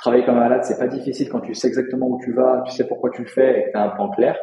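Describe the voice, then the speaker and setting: A man's medium-pitched voice shows ordinary pitch variation as he talks very fast. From France, countryside north of Lyon. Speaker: crypto and real estate investor, coach. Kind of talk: interview.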